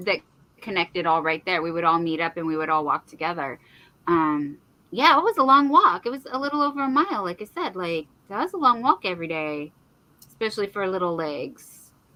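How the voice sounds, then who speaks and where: A woman at a medium pitch, talking at a fairly quick pace with very wide pitch swings. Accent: West Coast. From San Francisco Bay Area. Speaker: crochet YouTuber. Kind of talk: casual chat.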